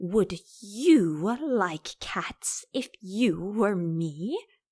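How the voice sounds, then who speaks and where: Using a shrill, put-on character voice at a medium pitch, a woman speaks very slowly in a very clean recording with a silent background. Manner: passionate.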